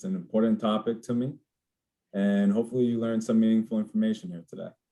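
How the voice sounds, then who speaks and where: Using a normal speaking voice, a man with an American accent talks at a fairly low pitch and a fairly even intonation. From New Jersey, Dominican American family. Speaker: insurance benefits advisor. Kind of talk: webinar presentation.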